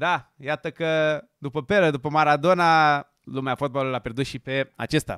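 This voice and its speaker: Over a quiet background, a man with a fairly high pitch talks at a moderate pace in an animated tone, with hardly any pauses and a dry sound with no echo. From Romania. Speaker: football YouTuber. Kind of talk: casual video commentary; casual commentary. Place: studio. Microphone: studio mic.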